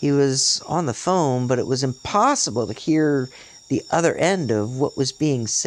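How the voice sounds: Pitch moves in an ordinary way here. It is a natural reading voice.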